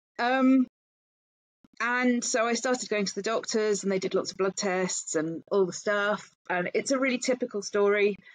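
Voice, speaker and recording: Speaking with an English accent, a woman talks at a medium pitch with ordinary pitch variation. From England. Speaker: founder of a perimenopause support group. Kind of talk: interview conversation.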